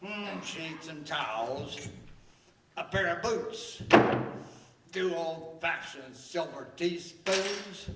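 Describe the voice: A man's put-on character voice, fairly high-pitched and fairly bright, with very slow delivery, lively intonation and strong room echo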